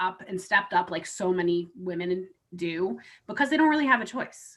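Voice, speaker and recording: At a moderate pace, this is a plain, everyday voice with an American accent. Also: woman. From US, military family moving around. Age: 40s. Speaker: insurance professional and volunteer advocate. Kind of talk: interview conversation.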